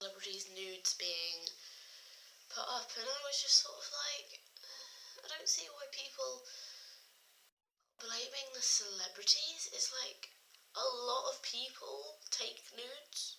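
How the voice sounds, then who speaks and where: A quiet woman with an English accent at a fairly slow pace, with long, frequent pauses and big swings in loudness. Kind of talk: casual talk to camera.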